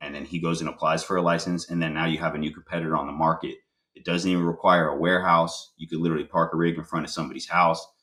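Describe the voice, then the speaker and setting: A man's very deep, low-pitched voice with a bright, sharp tone at a very fast pace, on a very clean recording with a silent background. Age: 30s. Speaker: spray foam contractor, business owner. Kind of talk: podcast interview. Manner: casual, many fillers and repeats.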